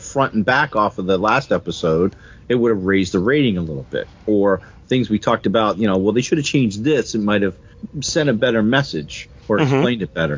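A man speaks with lively intonation. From born in New Jersey, lived mostly in the American South. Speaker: podcast co-host. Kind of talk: casual conversational.

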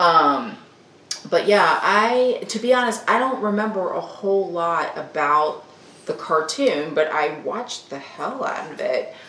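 Over noticeable background noise, a woman with a Southern US accent speaks at a medium pitch and fairly slow pace, with very wide pitch swings and big swings in loudness. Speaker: host's wife, co-presenter. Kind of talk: casual chat.

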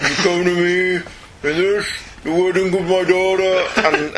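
A put-on character voice at middle pitch mumbles at a fairly slow pace in monotone, flat intonation over clear background noise.

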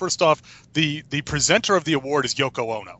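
A man's fairly high-pitched voice, lively intonation, and vocal fry. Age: 30s. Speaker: podcast co-host. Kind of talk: casual chat.

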